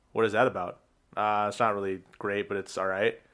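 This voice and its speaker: A man speaks at a fairly quick pace in a fairly low pitch. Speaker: podcast co-host, gym worker. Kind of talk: casual chat.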